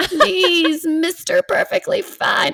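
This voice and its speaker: The put-on character voice is extremely high in pitch. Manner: begging, pleading.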